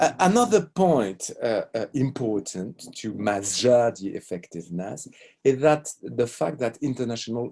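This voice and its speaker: A man with a French accent speaks fairly slowly at a medium pitch, his dark, mellow tone carried by lively intonation. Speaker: law professor. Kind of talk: lecture. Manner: halting.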